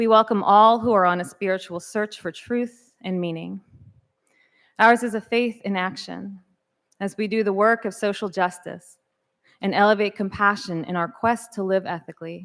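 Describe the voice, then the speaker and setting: A woman with an unremarkable speaking voice talks at a moderate pace. Her pitch is medium and her intonation fairly even. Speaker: worship associate. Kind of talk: church service welcome.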